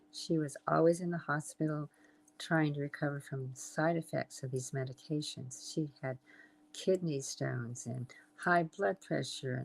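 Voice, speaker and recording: A woman speaks in an American accent with ordinary pitch variation. Her voice is very deep and low. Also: moderate pace. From Southern California. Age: 80s+. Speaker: health and wellness entrepreneur. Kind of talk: interview. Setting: live stream.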